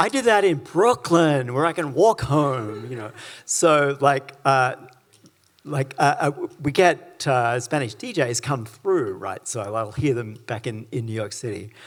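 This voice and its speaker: A man talks at a fairly slow pace in a plain, everyday voice. His medium pitch carries lively intonation. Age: 60s. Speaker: author and academic. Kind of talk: public conversation.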